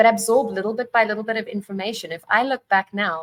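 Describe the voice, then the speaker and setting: In a dry, close sound with no echo, a woman delivers her words at a fairly quick pace. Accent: South African. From South Africa. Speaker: divorce coach. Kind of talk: casual chat.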